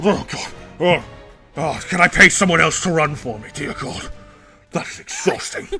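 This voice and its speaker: A man performs a put-on character voice at a moderate pace. Faint music plays in the background. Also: fairly high pitch for a man. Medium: game stream. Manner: pompous, flustered.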